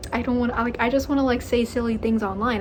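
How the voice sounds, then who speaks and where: Noticeable background noise runs under the recording. A woman talks at a very fast pace in a fairly high voice. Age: 20s. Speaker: YouTuber. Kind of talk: casual rant to camera. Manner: animated.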